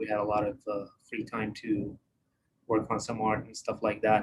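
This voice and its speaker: A man speaks with an Iraqi accent. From Iraq (Baghdad). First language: Arabic. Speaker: dental technician. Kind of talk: live online presentation. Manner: hesitant, many fillers.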